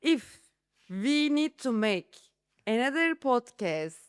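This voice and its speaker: Long, frequent pauses break up speech in a Turkish accent, with very wide pitch swings. The sound is dry and close, with no echo. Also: woman. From Istanbul, Turkey. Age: 30s. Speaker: real estate agent. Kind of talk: podcast interview. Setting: studio.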